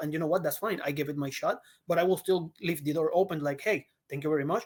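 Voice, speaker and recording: Very fast speech from a man in a Puerto Rican accent, fairly high in pitch, with fairly even intonation. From Puerto Rico. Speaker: actor. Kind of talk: interview. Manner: halting.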